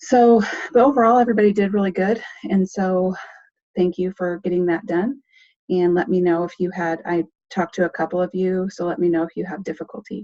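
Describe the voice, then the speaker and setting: A woman speaks at a medium pitch with a dark, mellow tone and ordinary pitch variation. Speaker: nursing instructor. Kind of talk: lecture. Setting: online class with screen share. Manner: sometimes too loud.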